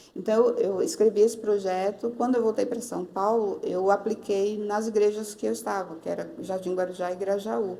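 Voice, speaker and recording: A woman with an unremarkable speaking voice talks at a moderate pace and medium pitch, with fairly even intonation and hardly any pauses. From Northeast Brazil. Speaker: pastor. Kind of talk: interview answer.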